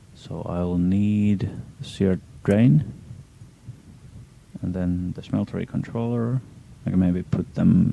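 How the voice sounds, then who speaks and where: A man speaks with a very deep, low voice and a non-native accent, his pitch varying in an ordinary way. He talks at a fairly slow pace over noticeable background noise. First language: not English. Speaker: gaming streamer. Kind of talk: live gameplay stream commentary. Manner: hesitant, many fillers. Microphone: poor audio quality.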